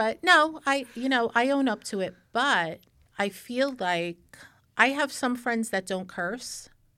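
On a very clean recording with a silent background, a woman speaks at high pitch with a bright, sharp tone and lively intonation. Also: big swings in loudness. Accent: American. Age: 50s. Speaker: podcast host. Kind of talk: casual chat. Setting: studio.

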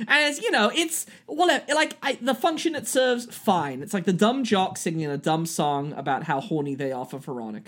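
With a British accent, the speaker keeps a moderate pace and uses very wide pitch swings. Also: man, high pitch for a man. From Britain. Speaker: podcast host and actor. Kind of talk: casual chat. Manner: animated.

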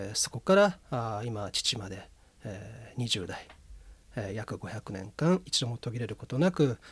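A man speaks in a somewhat breathy voice at a fairly slow pace. The recording is very clean, with a silent background. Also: medium pitch for a man. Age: 40s. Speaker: incense ceremony school heir. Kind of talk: radio interview.

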